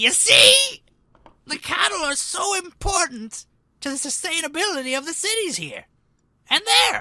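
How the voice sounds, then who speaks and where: An extremely high put-on character voice moves at a moderate pace. Long, frequent pauses run through it. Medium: actual play. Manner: rambling, keeps pausing with 'you see'.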